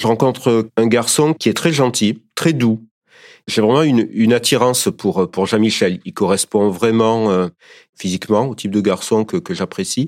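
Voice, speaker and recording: In a very clean recording with a silent background and a dry, close sound with no echo, a man with a plain, everyday voice and a medium pitch talks at a fairly slow pace with lively intonation. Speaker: partner of guest. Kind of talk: testimony.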